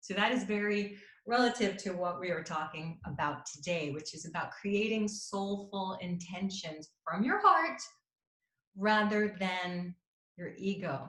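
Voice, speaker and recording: This woman's voice sits at a medium pitch and has a bright, sharp tone. She talks at a fairly slow pace, and audible room echo can be heard. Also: ordinary pitch variation. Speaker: intuitive counselor and happiness coach. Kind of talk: talk to an audience.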